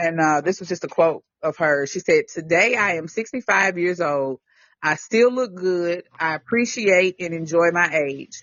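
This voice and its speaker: Speaking at a moderate pace, a woman with a Southern US accent has a fairly low pitch. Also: ordinary pitch variation. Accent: Southern, country. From Tennessee, US South. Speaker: podcast co-host. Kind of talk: casual chat.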